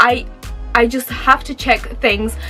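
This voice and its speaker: An animated tone comes through with music playing in the background. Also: woman. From Romania, moved to UK at four, lived in several countries. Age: 20s. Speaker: YouTuber. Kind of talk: casual vlog monologue. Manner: chatty, animated.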